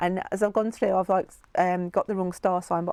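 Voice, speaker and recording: On a very clean recording with a silent background, a woman in a British accent speaks at medium pitch with ordinary pitch variation, the sound dry and close with no echo. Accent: regional UK accent, noticeable. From UK. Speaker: tarot reader. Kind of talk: tarot reading video. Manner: casual, chatty with fillers.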